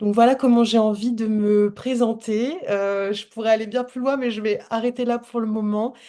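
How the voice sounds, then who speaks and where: Against a quiet background, a woman with a fairly high pitch and a dark, mellow tone talks at a moderate pace in a monotone, flat intonation, with hardly any pauses. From France. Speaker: holistic coach. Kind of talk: casual chat. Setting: video call.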